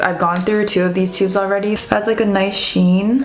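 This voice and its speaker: A woman's voice amid audible room echo and noticeable background noise. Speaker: beauty youtuber. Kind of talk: tutorial.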